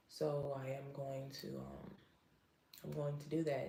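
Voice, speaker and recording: Speaking fairly slowly in a dark, mellow tone, a woman is heard with audible room echo. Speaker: live streamer and psychic. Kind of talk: emotional livestream monologue. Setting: live stream. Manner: halting, self-interrupting.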